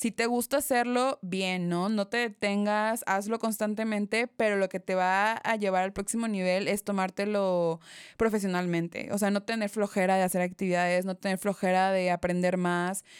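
In an ordinary speaking voice, a woman at a medium pitch talks at a moderate pace with fairly even intonation and hardly any pauses, the sound dry and close with no echo on a very clean recording with a silent background. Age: 20s. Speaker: photographer. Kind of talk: interview.

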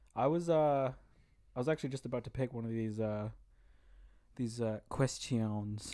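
Long, frequent pauses break up a man's moderate pace. His voice sits at a medium pitch with a dark, mellow tone. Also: ordinary pitch variation. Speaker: podcast co-host. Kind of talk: casual chat.

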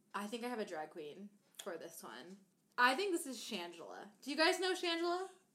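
A woman's fairly high voice in an American accent, bright and sharp, with vocal fry, a fairly quick pace, very wide pitch swings and big swings in loudness. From Maine, US. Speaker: hot sauce enthusiast guest. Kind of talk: casual chat.

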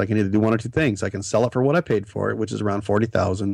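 Talking at a very fast pace, a man with an American accent has a fairly low voice with vocal fry. The background is quiet. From Nebraska. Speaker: author and former truck driver. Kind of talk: interview. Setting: studio.

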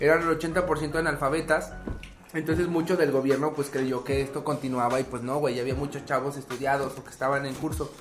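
Over noticeable background noise and audible room echo, a man with a Mexican accent talks at a fairly quick pace in a fairly high pitch with monotone, flat intonation. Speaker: podcast co-host. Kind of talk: casual chat.

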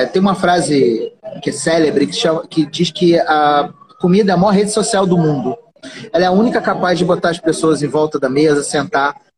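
Over noticeable background noise, a man talks at a high pitch and a moderate pace, his loudness very even and his pitch varying in an ordinary way. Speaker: podcast host. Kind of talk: casual chat. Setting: Instagram live.

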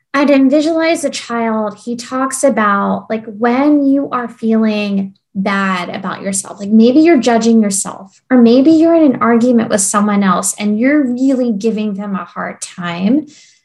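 A somewhat breathy woman with a fairly high pitch talks at a fairly slow pace, with ordinary pitch variation and hardly any pauses. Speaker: podcast host. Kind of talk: interview conversation.

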